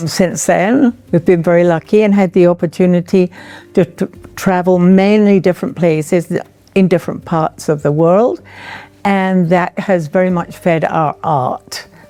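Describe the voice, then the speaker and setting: Over noticeable background noise, a woman with an English accent and a fairly low pitch talks at a moderate pace, with ordinary pitch variation and very even loudness. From England. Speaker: retired artist. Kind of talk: artist talk.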